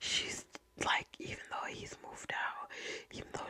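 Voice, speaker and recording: A woman whispers in an American accent. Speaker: ASMR creator. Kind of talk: ASMR true crime storytelling. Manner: whispered, soft, casual. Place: home room. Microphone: studio mic.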